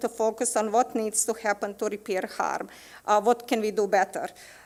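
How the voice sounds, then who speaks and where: A woman speaks at a moderate pace with a non-native accent and a fairly high pitch. The recording is very clean, with a silent background. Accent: foreign. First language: not English. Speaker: teacher. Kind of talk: committee presentation at school board meeting. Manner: halting, many hesitations.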